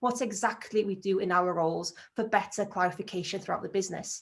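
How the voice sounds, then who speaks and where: A woman with a Welsh accent speaks at a very fast pace. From North Wales, Anglesey. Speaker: agile team lead. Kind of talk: conference talk.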